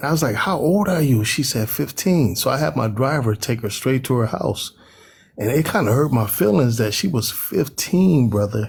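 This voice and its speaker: A man with an American accent at medium pitch, somewhat breathy, with lively intonation, very even loudness and a moderate pace on a very clean recording with a silent background. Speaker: panelist. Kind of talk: casual panel discussion. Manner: animated.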